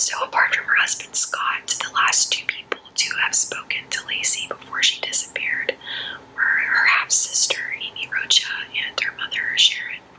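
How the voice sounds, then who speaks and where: Noticeable background noise fills the recording. Through it, a woman whispers. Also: moderate pace. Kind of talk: true crime case narration. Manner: soft-spoken.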